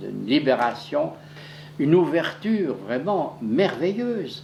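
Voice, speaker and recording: Noticeable background noise sits behind this man. He speaks at a very slow pace with very wide pitch swings. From Swiss Jura. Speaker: painter and engraver. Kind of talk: documentary interview talk. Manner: passionate, hesitant.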